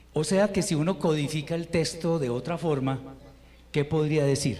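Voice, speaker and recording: There is audible room echo and noticeable background noise as a man speaks at a moderate pace. His pitch is fairly high, with ordinary variation. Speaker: Hebrew teacher. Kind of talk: lecture. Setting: online class.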